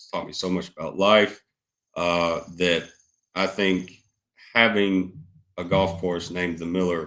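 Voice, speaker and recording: Spoken in a Southern US accent at a fairly slow pace, with long, frequent pauses. The recording is very clean, with a silent background. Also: man. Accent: Southern US (Georgia). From Georgia, US South (Douglasville, west of Atlanta). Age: 20s. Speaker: business owner. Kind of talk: casual interview chat.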